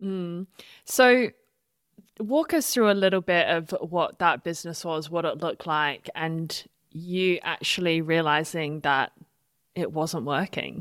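A woman with an unremarkable speaking voice talks at a fairly slow pace, her fairly low pitch showing ordinary pitch variation. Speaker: podcast host. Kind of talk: casual interview.

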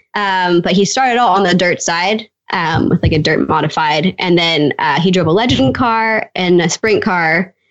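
Speaking in an unremarkable speaking voice with a Canadian accent, a woman keeps a fairly low pitch, very even loudness, ordinary pitch variation and a moderate pace with hardly any pauses. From Canada, Edmonton. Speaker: drag racing driver. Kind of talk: casual chat.

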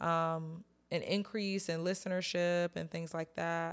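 An American accent with ordinary pitch variation on a very clean recording with a silent background. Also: woman. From North Carolina. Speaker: podcast host. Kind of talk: casual solo chat. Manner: animated.

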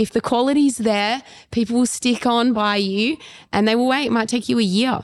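Spoken at a moderate pace in an Australian accent, the voice keeps a very even loudness throughout. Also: woman, fairly high pitch for a woman. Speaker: former pole vaulter and fitness trainer. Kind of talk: casual interview. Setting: on location at a fitness retreat.

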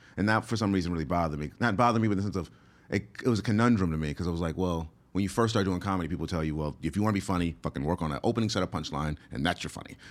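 The talking is very fast. Pitch varies in an ordinary way. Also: man, very deep, low pitch for a man. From US, moved often. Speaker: stand-up comedian. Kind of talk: casual interview. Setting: studio.

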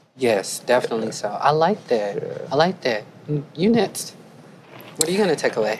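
Amid noticeable background noise, a woman with a very deep, low voice and very wide pitch swings speaks at a moderate pace with long, frequent pauses. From the Carolinas, US South. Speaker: podcast host. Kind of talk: panel conversation. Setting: live podcast at a conference.

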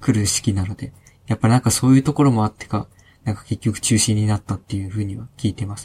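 A man's medium-pitched, somewhat breathy voice with a dark, mellow tone, fairly even intonation, big swings in loudness and a very fast pace, in a dry, close sound with no echo. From Hokkaido, Sapporo. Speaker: IT engineer. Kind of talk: casual chat.

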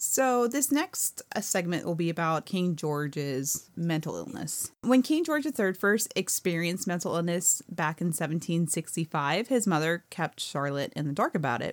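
With a normal speaking voice, a woman talks at a moderate pace and fairly low pitch, with lively intonation and hardly any pauses, on a very clean recording with a silent background. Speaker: podcast co-host. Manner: playful, laughs often.

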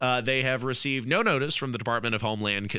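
In a very clean recording with a silent background, a man speaks in an animated, bright, sharp tone. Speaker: radio host. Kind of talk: radio dj patter. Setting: radio studio. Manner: chatty, jokey, animated.

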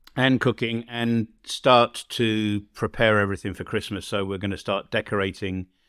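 A man talks with an English accent and a fairly low pitch. He takes hardly any pauses. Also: fairly even intonation, moderate pace. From England. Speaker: podcast host. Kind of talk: casual chat.

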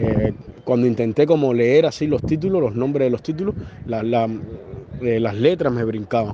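A man talks at a moderate pace with ordinary pitch variation and a medium pitch. Noticeable background noise runs under his voice. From Cuba. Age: 30s. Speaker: journalist. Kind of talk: interview. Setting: phone call. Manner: halting, many fillers and repetitions.

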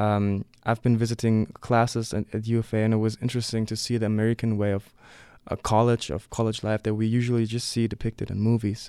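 This man talks very fast with a German accent, in a dark, mellow tone and a flat, monotone delivery. The sound is dry and close with no echo, on a very clean recording with a silent background. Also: medium pitch for a man. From Leipzig, eastern Germany. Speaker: student visitor. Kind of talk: interview. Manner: halting, many fillers.

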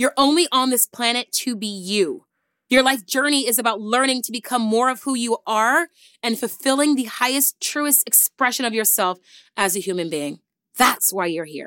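With a bright, sharp tone and lively intonation, a woman speaks in a high, animated voice at a moderate pace. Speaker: podcast host. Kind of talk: casual chat.

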